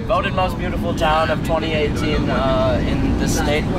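A dry sound with no echo at a moderate pace, over loud background noise. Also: man. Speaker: student magician vlogger. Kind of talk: casual vlog chat. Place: car.

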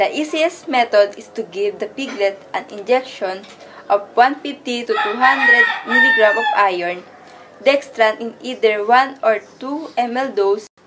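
A woman speaks at a high pitch and a very slow pace, with ordinary pitch variation and big swings in loudness. Noticeable background noise runs behind her. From Philippines. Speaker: agriculture student; presenter. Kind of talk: class report presentation. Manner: partly reading aloud. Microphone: phone near.

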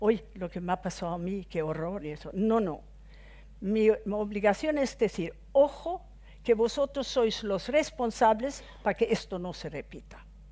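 A woman speaks at a fairly slow pace with vocal fry and big swings in loudness. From Sweden. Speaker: former MEP, widow of victim; guest. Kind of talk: off-the-cuff speech. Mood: earnest, reflective. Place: hall. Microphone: headset.

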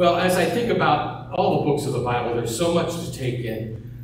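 A man is heard with strong room echo and light background noise. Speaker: pastor. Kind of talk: sermon. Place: church.

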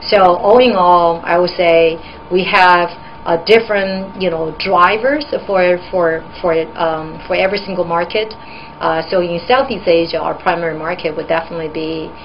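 Speaking at a moderate pace over light background noise, a woman uses a fairly low pitch with ordinary pitch variation. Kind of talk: interview answer. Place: office.

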